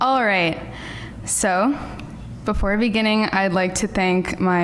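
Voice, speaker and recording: Speaking with an American accent, a woman uses a medium pitch with ordinary pitch variation. Audible room echo and noticeable background noise surround her voice. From New York. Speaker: MFA writing graduate, poet. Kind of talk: poetry reading. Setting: lecture hall with audience. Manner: loud.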